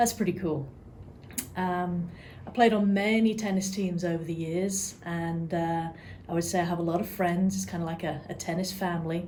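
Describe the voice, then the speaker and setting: A woman with an English accent talks at a moderate pace in a fairly low, somewhat breathy voice. Her intonation is monotone and flat, and audible room echo is present. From England, near London. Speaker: real estate client care coordinator. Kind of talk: interview.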